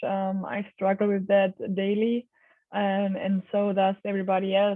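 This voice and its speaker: This woman has a non-native accent. She talks fairly slowly. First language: not English. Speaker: knowledge management program manager. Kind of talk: interview. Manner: hesitant, many fillers.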